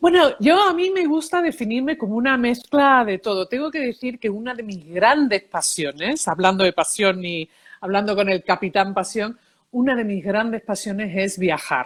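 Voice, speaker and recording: Her pitch fairly high, a woman talks at a moderate pace with very wide pitch swings. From Seville, Spain and New York. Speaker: psychologist, emotions expert and author. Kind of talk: interview.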